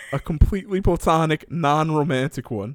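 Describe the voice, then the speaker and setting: Using lively intonation at a fairly quick pace, a man with an ordinary speaking voice is heard in a dry, close sound with no echo. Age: 20s. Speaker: podcast co-host. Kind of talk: casual chat. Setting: at parents' home.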